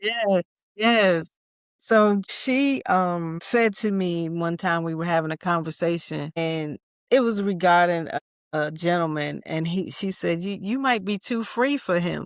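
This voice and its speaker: A woman with an American accent has an unremarkable speaking voice, fairly low in pitch with ordinary variation. She talks at a fairly slow pace in a very clean recording with a silent background. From US Mid-Atlantic (DC area). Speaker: army veteran and resilience speaker. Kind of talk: podcast interview.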